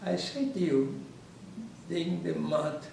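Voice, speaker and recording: Clear background noise and audible room reverberation accompany a male speaker. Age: 80s+. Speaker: Holocaust survivor. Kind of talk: testimony. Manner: halting.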